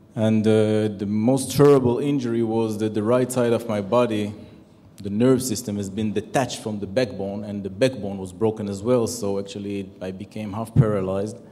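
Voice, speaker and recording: With an Israeli accent, the speaker moves at a moderate pace using fairly even intonation. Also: man, fairly low pitch for a man. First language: Hebrew. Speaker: retired military general; conference panelist. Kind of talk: conference panel talk. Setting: stage with audience. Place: hall. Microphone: handheld.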